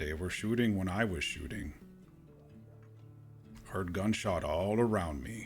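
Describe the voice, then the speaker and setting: A man puts on a character voice at a fairly low pitch with ordinary pitch variation, speaking fairly slowly with long, frequent pauses. Clear music plays in the background. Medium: game stream. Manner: terse broken English, drops articles and verbs.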